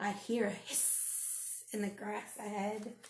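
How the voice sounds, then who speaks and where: Over clear background noise, a woman uses a put-on character voice at a medium pitch and a fairly slow pace. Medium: read story.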